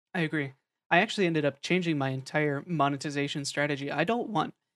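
On a very clean recording with a silent background, the words come at a fairly quick pace. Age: 20s. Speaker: podcast host interviewing streamers. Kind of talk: casual chat. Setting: live stream.

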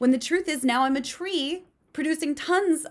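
An animated tone with lively intonation at a moderate pace, on a very clean recording with a silent background. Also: woman. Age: 30s. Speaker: podcast host. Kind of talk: solo monologue.

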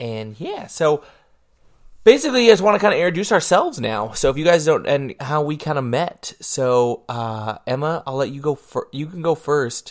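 A man with a fairly high pitch speaks at a moderate pace in an unremarkable speaking voice, with lively intonation and big swings in loudness. The recording is very clean, with a silent background. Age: 20s. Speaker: podcast co-host. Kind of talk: casual chat.

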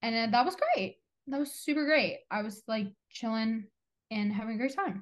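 A normal speaking voice from a woman, fairly high in pitch, with lively intonation at a moderate pace. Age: 20s. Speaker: podcast co-host. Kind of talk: casual chat. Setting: video call.

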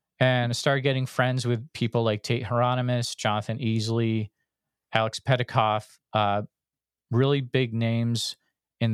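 A man with an ordinary speaking voice, medium pitch and moderate pace, recorded very cleanly against a silent background with a dry, close sound and no echo. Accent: American. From western Massachusetts. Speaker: podcast host, Bigfoot researcher. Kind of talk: casual chat.

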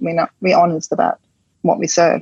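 Her voice is somewhat breathy. This woman speaks at a medium pitch. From rural west coast of Denmark. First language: Danish. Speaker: chef and cafe owner. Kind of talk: interview.

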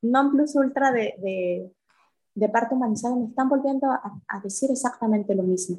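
At a fairly quick pace, a woman talks in a high pitch with lively intonation. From Mexico City. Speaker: yoga teacher sharing birth stories. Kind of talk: personal testimony in interview.

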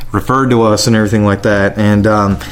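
Over noticeable background noise, a man with a Southern US accent talks at a fairly low pitch. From South Carolina, Lexington County. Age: 30s. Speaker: trust and estate planner. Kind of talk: casual interview. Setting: home kitchen studio.

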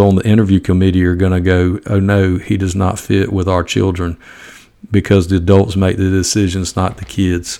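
In a strong Southern US accent, the speaker talks at a moderate pace with monotone, flat intonation. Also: man. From US South, Georgia. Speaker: high school football coach, podcaster. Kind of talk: casual podcast talk, opinionated. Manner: folksy, humorous.

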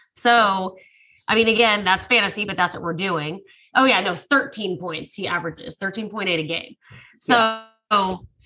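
Over music in the background, a woman with an American accent and a medium pitch speaks at a fairly slow pace, with ordinary pitch variation and big swings in loudness. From Texas. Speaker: sports betting podcast co-host. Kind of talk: casual chat.

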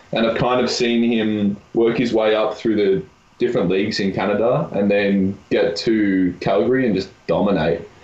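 A man with an American accent speaks at a fairly low pitch and a moderate pace. His intonation is fairly even, and his loudness is very even. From Australia, Melbourne. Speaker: university volleyball player. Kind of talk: casual chat.

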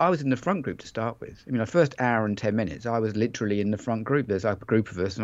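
A man with an English accent talks at a very fast pace. His medium pitch has ordinary variation, over a quiet background. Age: 50s. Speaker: bike fitter and author. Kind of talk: interview.

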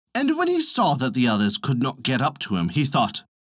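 The clip features a natural reading voice.

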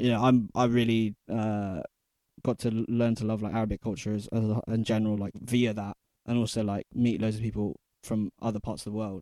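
In a plain, everyday voice, a man at medium pitch talks at a fairly quick pace with fairly even intonation. The sound is dry and close with no echo, on a very clean recording with a silent background. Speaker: DJ. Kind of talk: interview.

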